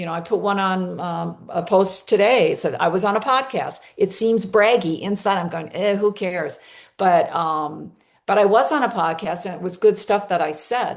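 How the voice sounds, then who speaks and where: A woman talks at a moderate pace with ordinary pitch variation. It is a normal speaking voice at medium pitch. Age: 60s. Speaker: coach and former company leader. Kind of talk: testimony.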